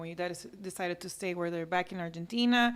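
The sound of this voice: A woman talks in a fairly low voice.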